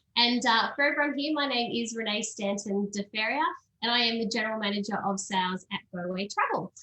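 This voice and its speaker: With an Australian accent, a woman talks at a fairly quick pace and a fairly high pitch. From Australia, Sydney. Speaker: travel company sales manager. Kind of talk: presentation.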